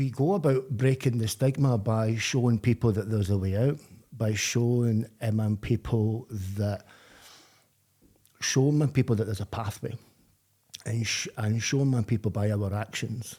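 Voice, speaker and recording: A somewhat breathy man at medium pitch in a Glaswegian accent, with fairly even intonation, a moderate pace and long, frequent pauses, on a very clean recording with a silent background. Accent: Glaswegian Scottish. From Scotland, Glasgow. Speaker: person in addiction recovery. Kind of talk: podcast interview. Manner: halting, with repetitions.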